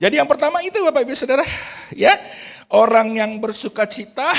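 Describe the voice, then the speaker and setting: The pitch swings very widely, rising and falling a great deal. The pace is moderate and the tone animated. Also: man. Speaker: pastor. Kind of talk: sermon. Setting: church. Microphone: good audio today.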